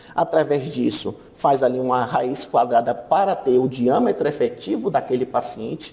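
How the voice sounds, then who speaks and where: Speech with hardly any pauses, very even loudness and ordinary pitch variation over noticeable background noise. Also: man, medium pitch for a man, moderate pace. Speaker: radiology lecturer. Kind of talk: conference talk.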